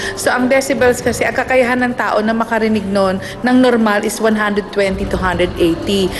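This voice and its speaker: A woman speaks at a fairly quick pace with hardly any pauses and very even loudness. Music plays in the background, and there is audible room echo. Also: fairly high pitch for a woman, ordinary pitch variation. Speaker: psychologist or counselor on TV panel. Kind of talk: TV talk show expert explanation.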